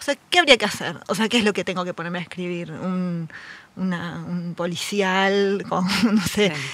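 A woman in a Rioplatense accent at a medium pitch, with fairly even intonation and a moderate pace. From Buenos Aires southern suburbs. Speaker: writer and editor. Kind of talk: casual interview chat.

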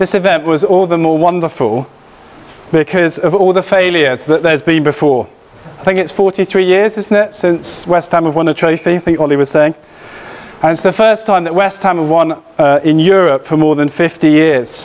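A man with a high voice speaks at a moderate pace with ordinary pitch variation. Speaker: church elder preaching. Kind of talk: sermon. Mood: warm, lightly humorous. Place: church. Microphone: lapel.

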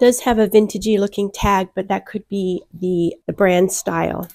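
A woman's dark, mellow voice with fairly even intonation. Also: quiet background. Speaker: clothing reseller. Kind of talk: casual vlog chat. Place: home room.

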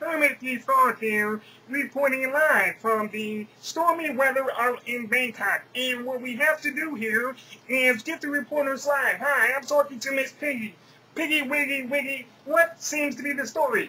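In a cartoonish character voice, a man speaks at an extremely high pitch and a moderate pace. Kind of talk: puppet impression, comic overacting. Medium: voice reel. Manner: flustered, chatty, comic.

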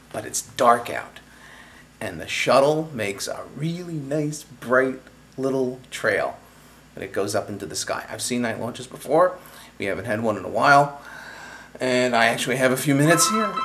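A man speaks at a moderate pace with lively intonation and long, frequent pauses. Light background noise is present. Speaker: home video blogger. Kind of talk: casual vlog chat. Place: home room. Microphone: phone near.

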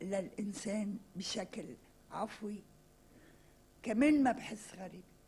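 The voice has a dark, mellow tone and is somewhat breathy. It moves at a very slow pace, broken by long, frequent pauses. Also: woman. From Lebanon. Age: 60s. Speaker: writer and journalist; journalist. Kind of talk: interview. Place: studio. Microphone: podium.

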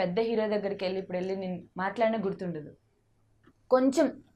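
This woman's dark, mellow tone rests at a medium pitch and shows ordinary pitch variation. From Andhra Pradesh, Vizag. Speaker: actress and TV comedian. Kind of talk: interview.

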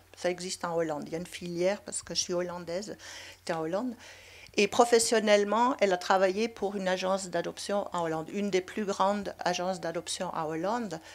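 Speaking at a fairly quick pace, a woman has a Dutch accent. Her voice sits at medium pitch with fairly even intonation. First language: Dutch (speaking French). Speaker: anthropologist; panelist. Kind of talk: panel discussion. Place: hall. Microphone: handheld.

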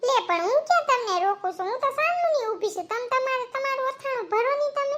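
In a cartoonish character voice, a female-sounding speaker talks at a moderate pace with an extremely high pitch. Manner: gossipy, wheedling.

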